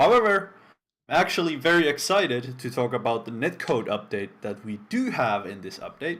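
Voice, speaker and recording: A man with a non-native accent speaks with very wide pitch swings and big swings in loudness. The recording is very clean, with a silent background. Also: medium pitch for a man, moderate pace. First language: not English. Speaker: game developer community stream host. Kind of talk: live stream presentation. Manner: casual, with frequent fillers.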